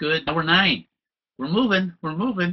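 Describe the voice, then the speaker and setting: A man with an American accent speaks at a fairly quick pace. His voice carries vocal fry. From US West Coast (Southern California). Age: 70s. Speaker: stress management trainer. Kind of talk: webinar presentation. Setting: online webinar.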